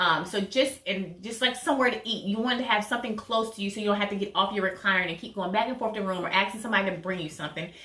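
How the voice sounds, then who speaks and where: With noticeable background noise behind her, a woman talks very fast at a medium pitch with hardly any pauses. Her pitch variation is ordinary. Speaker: vlogger sharing surgery recovery tips. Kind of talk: casual tutorial vlog.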